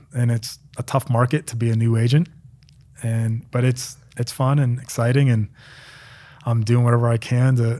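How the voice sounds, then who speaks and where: Speaking with an American accent, a man's dark, mellow, somewhat breathy voice holds a monotone, flat intonation. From central Pennsylvania, small town. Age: 30s. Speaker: former NFL long snapper. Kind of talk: casual interview.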